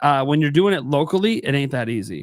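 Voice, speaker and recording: A fairly high-pitched man at a fairly quick pace with ordinary pitch variation, on a very clean recording with a silent background. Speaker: gaming podcast host. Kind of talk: casual chat. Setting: live stream. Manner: loud; animated.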